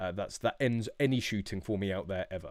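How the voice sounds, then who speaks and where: The recording is very clean, with a silent background. A man speaks in a British accent. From England. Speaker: shooting YouTuber. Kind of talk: live stream chat. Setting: live stream. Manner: casual, many fillers.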